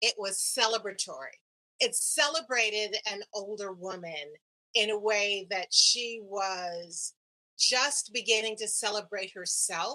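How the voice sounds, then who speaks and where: With a bright, sharp tone, a woman speaks at a fairly slow pace in a fairly high pitch with ordinary pitch variation. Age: 70s. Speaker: actress. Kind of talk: casual chat.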